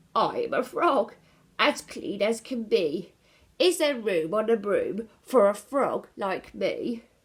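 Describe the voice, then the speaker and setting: A croaky, put-on character voice speaks at a fairly slow pace. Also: woman, fairly high pitch for a woman. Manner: polite, friendly.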